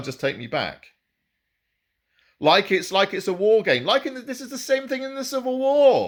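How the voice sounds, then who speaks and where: On a very clean recording with a silent background, a man speaks in an animated tone at a moderate pace. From Britain. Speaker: political commentator. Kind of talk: opinion monologue.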